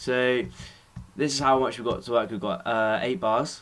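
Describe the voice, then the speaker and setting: A man at a medium pitch with an English accent. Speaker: music production tutor. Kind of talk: tutorial. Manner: fast; casual.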